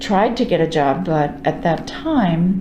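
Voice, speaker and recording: With lively intonation and an American accent, a woman talks amid noticeable background noise and audible room echo. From New York. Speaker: retiring librarian. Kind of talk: oral history interview. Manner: halting with fillers.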